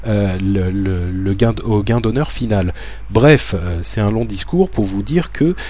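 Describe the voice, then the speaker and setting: There is noticeable background noise behind this recording. A man speaks at a fairly slow pace. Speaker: podcast host. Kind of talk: scripted narration; casual chat. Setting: recorded alone at home.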